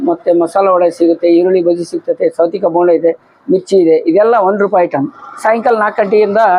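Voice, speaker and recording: Here is a man with a high pitch. Noticeable background noise runs underneath. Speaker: retired teacher running a snack shop. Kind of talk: interview.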